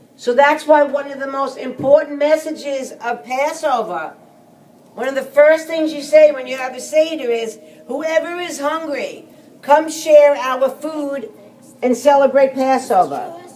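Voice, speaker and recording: Against noticeable background noise, a woman with a high pitch talks at a fairly slow pace with fairly even intonation. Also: big swings in loudness. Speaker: Seder leader. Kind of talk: explaining Passover to a group.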